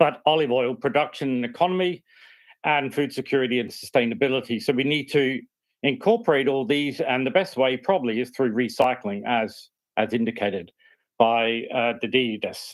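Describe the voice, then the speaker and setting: Speaking with an Australian accent, a man keeps a moderate pace at medium pitch for a man with ordinary pitch variation. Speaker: university researcher. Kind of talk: project pitch. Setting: remote video call.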